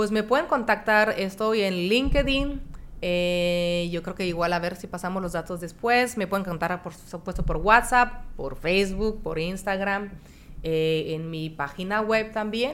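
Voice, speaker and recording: A woman with a French accent talks at a medium pitch. Her pace is fairly slow, and her pitch varies in an ordinary way. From France. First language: French (speaking Spanish). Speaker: horse-assisted coach and businesswoman. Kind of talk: interview.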